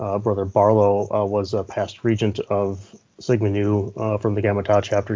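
The speaker talks with an Upper Midwest accent. The intonation stays monotone and flat. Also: man. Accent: Upper Midwest American. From US Midwest, Minnesota. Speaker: law enforcement officer. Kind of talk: interview.

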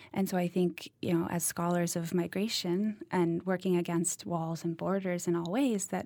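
In a very clean recording with a silent background, a woman with an American accent speaks at a moderate pace in a plain, everyday voice, her fairly low pitch varying in an ordinary way. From Massachusetts (Cambridge). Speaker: PhD student and podcast producer. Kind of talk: panel discussion.

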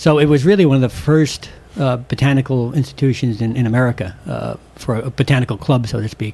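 This man speaks very fast at a medium pitch, his tone dark and mellow. His voice is somewhat breathy, with ordinary pitch variation. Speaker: herbarium supervisor. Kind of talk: casual radio interview, chatty expert explanation just before a break. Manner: animated, rambling, hesitant with fillers.

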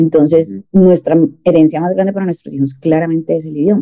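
Talking at a very fast pace, a woman uses a very deep, low pitch. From Colombia. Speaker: sales director. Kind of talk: interview. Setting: video call. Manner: halting.

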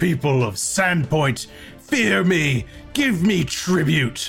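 In a put-on character voice at a middle pitch, the speaker goes at a very slow pace with clear music in the background. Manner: bellowing, menacing, commanding.

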